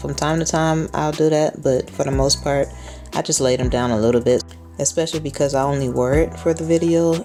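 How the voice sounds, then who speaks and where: With music in the background, a woman with a very deep, low pitch talks at a fairly quick pace. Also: lively intonation. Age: 20s. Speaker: photographer. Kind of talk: hair tutorial voice-over. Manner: casual.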